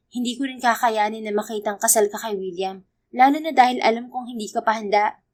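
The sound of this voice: An unforced reading voice plays over a quiet background.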